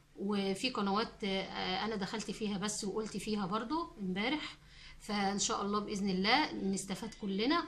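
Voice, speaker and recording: Audible room echo and noticeable background noise surround a woman speaking at medium pitch with ordinary pitch variation. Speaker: cooking channel host. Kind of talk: casual chat to viewers. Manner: halting, many fillers and restarts.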